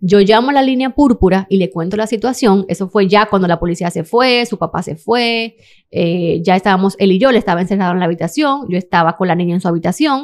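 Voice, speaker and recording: The speaker is a woman going at a very fast pace. Pauses are hardly present. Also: ordinary pitch variation. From Dominican Republic. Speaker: model and interior designer; podcast guest. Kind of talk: testimony. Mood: serious, emotional personal story. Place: studio. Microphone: studio mic.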